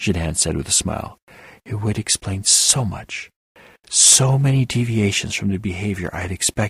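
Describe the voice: The background stays quiet. Over it comes plain reading aloud, pitch varying in an ordinary way.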